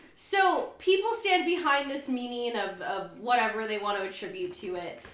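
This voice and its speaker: Her pitch swings very widely over noticeable background noise. A woman with a high pitch and animated tone keeps a moderate pace. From US, Mexican-American. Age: 20s. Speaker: podcast co-host. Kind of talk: casual chat.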